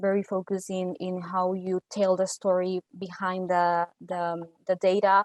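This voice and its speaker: A woman with a Spanish accent talks fairly slowly at a medium pitch in a monotone, flat intonation. The sound is dry and close with no echo, over a quiet background. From Costa Rica. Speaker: data analyst. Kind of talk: interview. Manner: halting, many repeated words.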